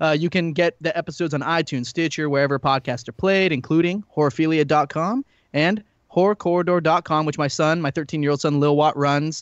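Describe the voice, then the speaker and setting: This man's voice sits fairly high in pitch. He speaks at a fairly quick pace. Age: 30s. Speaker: horror podcast guest. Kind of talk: casual chat. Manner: animated.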